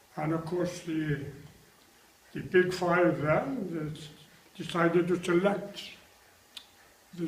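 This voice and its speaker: Over noticeable background noise, a man with a Welsh accent talks at a very slow pace, high-pitched, with fairly even intonation. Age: 80s+. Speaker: retired international rugby player. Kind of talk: interview answer.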